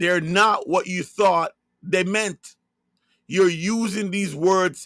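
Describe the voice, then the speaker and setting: Speaking at a fairly slow pace with a Jamaican accent, a man uses a high voice with ordinary pitch variation, recorded dry and close with no echo on a very clean recording with a silent background. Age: 50s. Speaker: religious online broadcaster. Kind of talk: religious monologue livestream.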